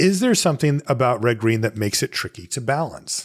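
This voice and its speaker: Somewhat breathy, a man speaks at a fairly quick pace with very wide pitch swings, the sound dry and close with no echo. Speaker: podcast host. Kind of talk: casual chat. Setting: remote call. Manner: calm, relaxed.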